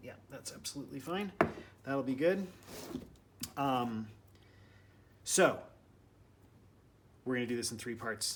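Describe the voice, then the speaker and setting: A soft-spoken man at a moderate pace. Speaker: mixed-media artist. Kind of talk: tutorial. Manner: casual.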